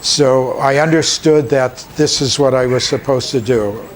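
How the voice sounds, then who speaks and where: A man with a medium-pitched voice and fairly even intonation talks against noticeable background noise. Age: 70s. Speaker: animal shelter director. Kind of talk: interview. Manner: halting.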